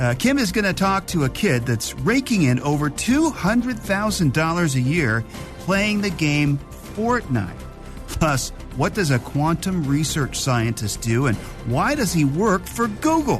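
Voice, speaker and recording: A man speaks fairly slowly at a fairly high pitch, with very wide pitch swings and very even loudness. Music plays in the background. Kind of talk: podcast intro narration.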